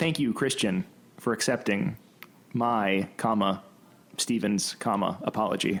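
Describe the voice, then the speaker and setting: A man speaks with a fairly low pitch and ordinary pitch variation. His pace is fairly slow, his loudness very even, and his pauses long and frequent. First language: Greek. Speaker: podcast co-host. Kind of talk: casual chat. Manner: playful.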